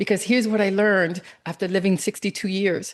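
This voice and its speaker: With a quiet background, a woman talks at a fairly quick pace in a normal speaking voice at a medium pitch. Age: 60s. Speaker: cancer coach and speaker. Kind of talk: interview.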